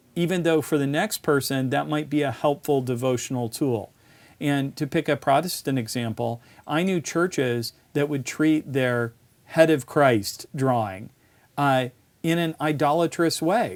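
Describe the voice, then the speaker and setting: The speaker has an American accent and a fairly slow pace, with ordinary pitch variation. The recording is very clean, with a silent background. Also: man, fairly high pitch for a man. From US South (West Virginia roots), later upstate New York. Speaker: philosopher and university provost. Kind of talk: casual conversation.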